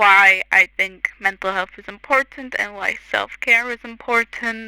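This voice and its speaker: Recorded with a dry, close sound and no echo, a woman with a non-native accent speaks at a fairly slow pace in a bright, sharp tone with fairly even intonation. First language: not English. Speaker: content creator. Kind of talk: tutorial voiceover. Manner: hesitant, many fillers.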